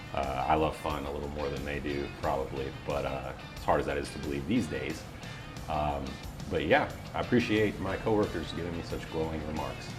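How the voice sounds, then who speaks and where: A man's very deep, low voice, fairly quick and upbeat, with ordinary pitch variation and music in the background. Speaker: voiceover artist. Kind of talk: interview answer. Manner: easygoing, upbeat.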